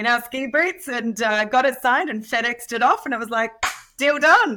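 A woman speaks very fast in an Australian accent. Her high voice has an animated tone. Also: very clean recording, silent background. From rural Australia. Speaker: real estate entrepreneur. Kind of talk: podcast interview.

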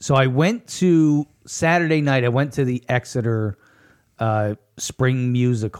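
A man with a normal speaking voice talks at a fairly slow pace, medium in pitch with ordinary pitch variation and very even loudness, in a dry, close sound with no echo. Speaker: local news podcast host and writer. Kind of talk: casual chat.

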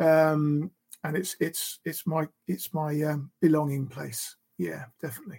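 Pitched fairly high, a man speaks very slowly in a dark, mellow tone, with a dry, close sound and no echo. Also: ordinary pitch variation. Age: 60s. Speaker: retired police officer, adoptive father. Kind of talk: casual faith chat. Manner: hesitant, many fillers.

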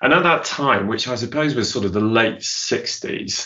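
Ordinary pitch variation in a man's voice with a British accent. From Zambia. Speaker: business consultant and keynote speaker. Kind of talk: casual interview. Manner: halting, many repetitions.

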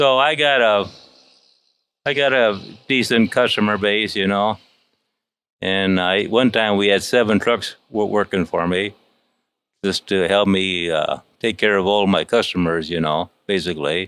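A man with a Midwestern American accent, fairly low in pitch, at a fairly slow pace with long, frequent pauses, ordinary pitch variation and very even loudness. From US Midwest. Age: 60s. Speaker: truck driver. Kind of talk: interview, storytelling. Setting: in a shop. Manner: halting.

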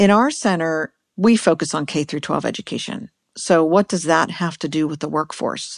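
A woman speaks with an unremarkable speaking voice at a fairly low pitch, with ordinary pitch variation. The sound is dry and close with no echo, against a quiet background. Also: moderate pace. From US, Pittsburgh, Pennsylvania. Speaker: science education director. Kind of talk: interview.

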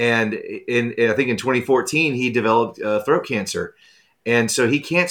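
At a moderate pace, a man speaks in an unremarkable speaking voice at a medium pitch with ordinary pitch variation. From US South, moved around (born in Texas). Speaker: author. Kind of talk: casual interview. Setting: remote call.

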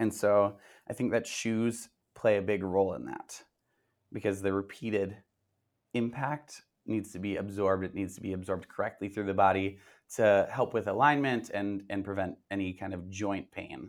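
In a very clean recording with a silent background, a man with a normal speaking voice and an American accent talks at a moderate pace, his fairly low pitch showing ordinary variation. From Minnesota. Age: 20s. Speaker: tumbling and cheer coach. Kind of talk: interview.

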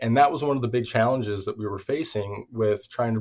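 In a very clean recording with a silent background, a man with an American accent talks at a fairly quick pace. His voice is fairly low in pitch, somewhat breathy, with fairly even intonation. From Washington State, US (Everett). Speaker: social enterprise founder. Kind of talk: interview.

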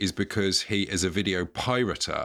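A man with an English accent speaks at a moderate pace, his pitch fairly low and its variation ordinary. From England. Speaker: podcast co-host, guest. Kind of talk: casual chat. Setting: home cupboard, standing.

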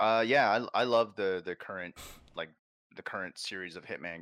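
A man uses a plain, everyday voice at a moderate pace with fairly even intonation. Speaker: gaming show co-host. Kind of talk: casual chat about video games.

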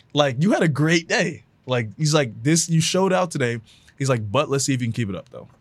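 A normal speaking voice from a man with an American accent, fairly high in pitch, with lively intonation at a fairly quick pace. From Houston, Texas. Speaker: former pro football player, motivational speaker. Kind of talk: casual interview chat.

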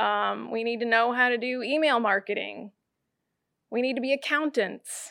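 On a very clean recording with a silent background, a woman's bright, sharp voice sits fairly high, her intonation fairly even and her pace moderate. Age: 40s. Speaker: hair salon owner. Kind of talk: interview. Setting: in her salon.

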